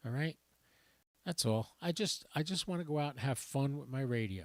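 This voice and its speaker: The sound is dry and close, with no echo. A man is heard on a very clean recording with a silent background. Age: 60s. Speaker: ham radio hobbyist and YouTuber. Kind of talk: casual rant on a livestream. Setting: live stream. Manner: animated.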